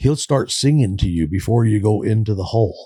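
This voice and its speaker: Lively intonation runs through this man's somewhat breathy voice. He speaks with an American accent at a moderate pace. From California. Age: 60s. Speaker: recovering addict. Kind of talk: interview testimony.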